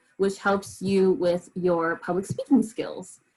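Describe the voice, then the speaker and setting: At a fairly slow pace, a woman speaks in a somewhat breathy voice at a medium pitch. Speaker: event moderator. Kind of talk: virtual event introduction.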